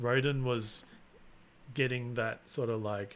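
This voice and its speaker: A man is speaking. His voice is somewhat breathy. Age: 40s. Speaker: YouTuber, 3D printing and maker channel host. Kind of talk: casual livestream chat. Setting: live stream. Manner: monotone; relaxed, unexcited.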